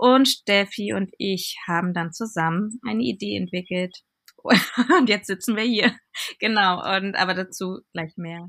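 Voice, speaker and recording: The woman has an ordinary speaking voice, a medium pitch, ordinary pitch variation, and a fairly slow pace. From Berlin. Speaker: fashion designer and platform founder. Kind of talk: casual interview.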